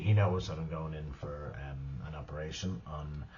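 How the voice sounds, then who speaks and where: Here is a man speaking. His voice is somewhat breathy. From Ireland. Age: 50s. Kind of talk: casual talk to camera.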